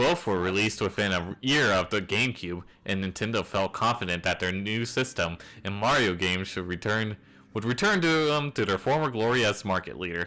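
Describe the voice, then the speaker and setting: A man talks at a fairly quick pace in a fairly low voice. His tone is bright and sharp, with lively intonation. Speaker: streamer reading creepypastas. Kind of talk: reading aloud with commentary. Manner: stumbling, self-correcting; animated.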